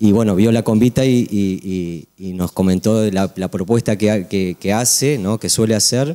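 Faint music plays behind a man with a fairly low voice. He speaks at a fairly slow pace with ordinary pitch variation. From Uruguay. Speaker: event collaborator; TV guest. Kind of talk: TV interview. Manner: halting. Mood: friendly, grateful. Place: studio. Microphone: handheld.

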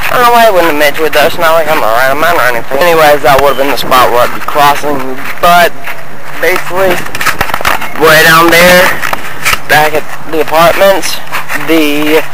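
Fairly quick speech with ordinary pitch variation, a dry sound with no echo, and loud background noise. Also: man. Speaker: vlogger. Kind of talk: casual vlog chat. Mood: joking, playful. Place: street. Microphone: phone near.

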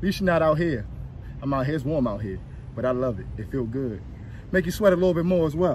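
A man at a very fast pace, lively in intonation, over light background noise. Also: dry sound with no echo. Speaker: fitness trainer. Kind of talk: workout instruction. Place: open country. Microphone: phone near.

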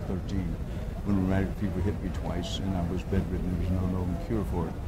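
A man with an American accent talks over loud background noise. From Texas. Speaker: journalist, former news anchor. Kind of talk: interview answer. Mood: reflective, calm. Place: meeting room. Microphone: lapel.

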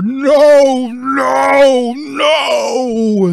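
The pitch sits high. It's a put-on character voice. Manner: furious, shouting.

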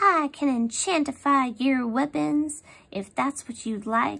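This is a put-on character voice with a high pitch. It moves at a fairly slow pace. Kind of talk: reading a story aloud.

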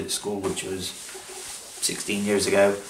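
A fairly low-pitched man is heard with audible room echo and light background noise. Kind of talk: casual vlog chat. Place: home room.

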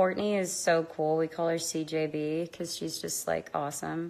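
A woman's very deep, low voice, monotone and flat, at a fairly slow pace. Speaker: streamer answering fan questions. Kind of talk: casual vlog chat. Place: home room. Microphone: phone near.

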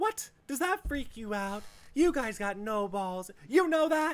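A female-sounding voice, high in pitch, performs a put-on character voice. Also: fairly slow pace. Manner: taunting, tough.

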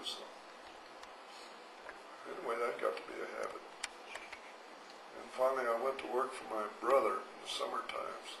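With a Southwestern US accent, a man talks with long, frequent pauses and big swings in loudness against noticeable background noise. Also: moderate pace. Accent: American Southwest. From Arizona. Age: 80s+. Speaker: grandfather interviewee. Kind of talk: interview answer. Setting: karaoke microphone recording. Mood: warm, amused reminiscing. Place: home room. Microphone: handheld.

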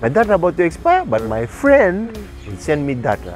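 With faint music in the background, a man speaks at a moderate pace with very wide pitch swings in a dry sound with no echo. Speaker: radio breakfast show host. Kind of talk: casual radio banter, talk show. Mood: playful, joking. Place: open country.

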